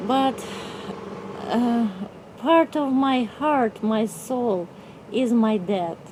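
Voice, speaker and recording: A woman with a Russian accent speaks at a very slow pace in a fairly high pitch, with ordinary pitch variation, long and frequent pauses, and noticeable background noise. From Russia (Novosibirsk, Siberia). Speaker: artist. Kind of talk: interview. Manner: halting.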